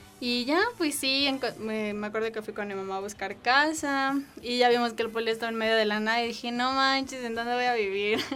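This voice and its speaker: A woman with a fairly high pitch speaks at a fairly quick pace with hardly any pauses over noticeable background noise. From Mexico. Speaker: university student. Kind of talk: casual chat. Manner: animated.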